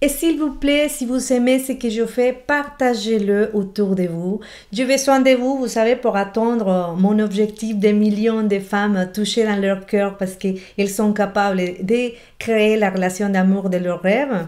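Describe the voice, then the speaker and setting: At a fairly slow pace, a woman with a Spanish accent speaks with ordinary pitch variation. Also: quiet background. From Colombian Amazon. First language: Spanish (speaking French). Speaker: relationship coach. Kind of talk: motivational video talk. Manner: animated. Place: home room. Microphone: webcam.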